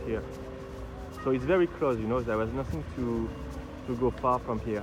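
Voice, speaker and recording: A man with a French accent over noticeable background noise. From France. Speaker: film fan guide. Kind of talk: on-location walking tour. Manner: halting.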